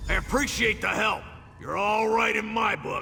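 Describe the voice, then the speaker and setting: A man puts on a raspy character voice pitched extremely high. He talks at a moderate pace over clear background noise. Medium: machinima. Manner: wisecracking.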